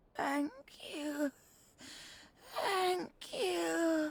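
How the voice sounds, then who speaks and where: Using a put-on character voice, a woman speaks. Her pitch is high. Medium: video game. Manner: faltering, fragmented speech.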